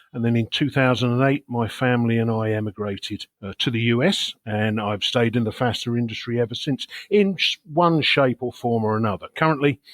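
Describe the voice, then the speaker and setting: A man's medium-pitched voice in an English accent at a fairly quick pace, with ordinary pitch variation, a dry, close sound with no echo and a very clean recording with a silent background. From England. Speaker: sales executive. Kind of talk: podcast interview.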